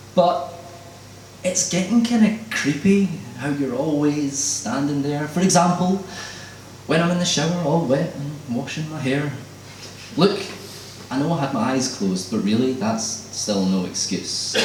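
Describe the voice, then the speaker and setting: Speaking at a fairly slow pace with long, frequent pauses, a man's fairly high voice moves through very wide pitch swings over noticeable background noise. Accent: Scottish. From Scotland. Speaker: spoken word poet. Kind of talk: live spoken word poetry performance. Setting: live event.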